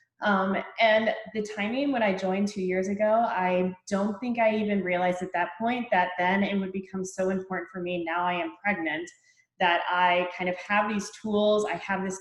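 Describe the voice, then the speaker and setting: Fairly even intonation marks a woman's speech, her voice somewhat breathy. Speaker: fitness coach. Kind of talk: testimony.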